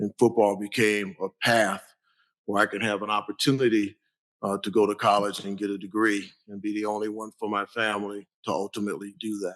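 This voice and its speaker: A man with an American accent speaks fairly quickly in a fairly low, monotone voice with flat intonation. The sound is dry and close with no echo, against a quiet background. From US Midwest, Cleveland, Ohio. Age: 60s. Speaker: athletics director. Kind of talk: panel discussion.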